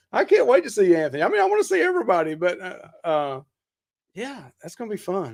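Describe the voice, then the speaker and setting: A man talks at a very fast pace with a Southern US accent. His loudness swings widely. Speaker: podcast host. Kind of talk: casual chat. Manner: animated.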